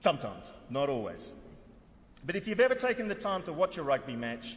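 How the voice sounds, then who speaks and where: Speaking fairly quickly with an Australian accent, a man uses a high pitch with very wide pitch swings. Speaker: head of an international convention secretariat. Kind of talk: formal conference speech. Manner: formal.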